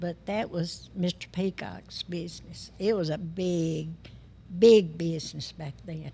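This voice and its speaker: A woman with a Tennessee accent speaks at a moderate pace, somewhat breathy. Her fairly low, dark, mellow voice shows ordinary pitch variation. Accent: Southern US, West Tennessee. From West Tennessee. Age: 80s+. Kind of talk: podcast interview answer.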